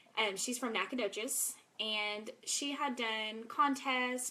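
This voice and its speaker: A woman with a Texas accent speaks with ordinary pitch variation over noticeable background noise. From East Texas (Longview). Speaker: network marketing seller. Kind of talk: live video presentation. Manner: casual, filler-heavy.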